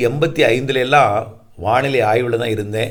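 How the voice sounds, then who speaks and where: A man's speech carries audible room echo. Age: 50s. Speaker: weather forecaster. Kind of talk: monologue talk to viewers.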